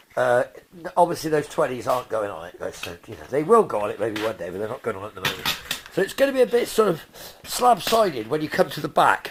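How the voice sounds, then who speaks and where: A man speaks at a very fast pace with a fairly high pitch and very wide pitch swings. Noticeable background noise can be heard. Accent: English. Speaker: car restorer, video creator. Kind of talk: workshop vlog, casual talk to camera. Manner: loud; casual, rambling.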